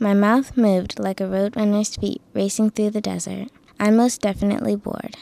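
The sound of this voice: Unforced reading in an easy voice.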